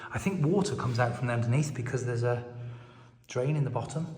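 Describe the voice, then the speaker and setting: A man speaks very fast at a medium pitch with ordinary pitch variation. Audible room echo and noticeable background noise fill the recording. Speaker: property vlogger and hotel owner. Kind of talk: walkthrough video tour. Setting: inside an abandoned hotel. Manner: whispering to avoid echo.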